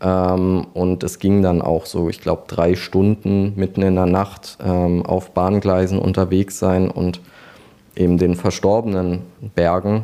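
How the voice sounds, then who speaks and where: A man's very deep, low voice with a dark, mellow tone, flat monotone delivery and a fairly slow pace. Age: 20s. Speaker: funeral director. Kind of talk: interview.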